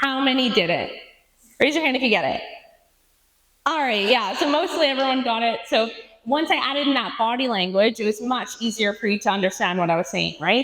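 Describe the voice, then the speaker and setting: Here a woman talks at a fairly quick pace with a fairly high pitch and lively intonation. Audible room echo is present. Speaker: animal rights advocate, conference speaker. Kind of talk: conference talk. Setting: stage with audience. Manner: interactive, addressing audience.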